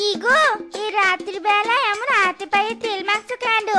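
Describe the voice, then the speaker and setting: A cartoonish character voice, female-sounding and extremely high in pitch for a woman, moves at a moderate pace with faint music in the background. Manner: reproachful.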